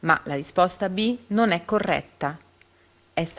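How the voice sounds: Someone reads with lively intonation in a natural reading voice.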